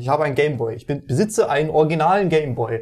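A man with a fairly high pitch talks at a very fast pace with ordinary pitch variation. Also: very clean recording, silent background. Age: 20s. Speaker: games journalist and podcast co-host. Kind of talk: casual chat.

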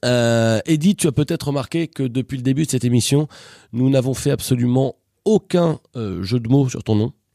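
In a dry, close recording with no echo and a silent background, a man speaks at a medium pitch with a dark, mellow tone, ordinary pitch variation, and a moderate pace. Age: older than the guest. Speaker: radio comedy show host. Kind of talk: comedic radio show. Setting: studio. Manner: animated.

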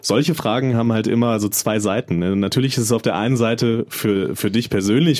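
Medium pitch, ordinary pitch variation and a fairly quick pace from a man, with noticeable background noise behind. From North Rhine-Westphalia, small town. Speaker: podcast co-host. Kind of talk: casual chat. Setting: studio.

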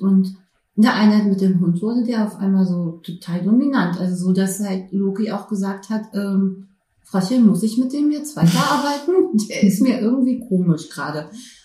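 A woman speaks at medium pitch. Her voice is somewhat breathy, with a dark, mellow tone. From Berlin, Germany. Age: 40s. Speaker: prison social worker with therapy dog. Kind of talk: interview. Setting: studio couch with dog present.

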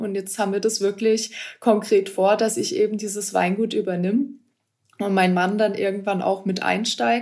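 A normal speaking voice holds fairly even intonation and a moderate pace. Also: woman. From Baden, Ortenau (southwest Germany). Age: 20s. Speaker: winemaker, former wine queen. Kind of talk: interview.

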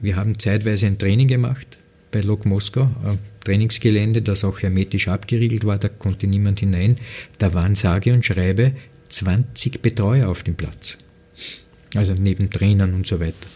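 A man speaks at a moderate pace in a fairly low, somewhat breathy voice with a dark, mellow tone and fairly even intonation. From Lower Austria, near Wiener Neustadt. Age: 50s. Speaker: football pundit and former coach. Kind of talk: interview conversation.

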